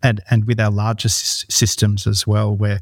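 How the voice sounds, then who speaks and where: On a very clean recording with a silent background, a man with an Australian accent speaks at a moderate pace and fairly low pitch. His voice is somewhat breathy, and the sound is dry and close with no echo. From Australia, Northern Rivers, New South Wales. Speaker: company founder. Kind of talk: interview.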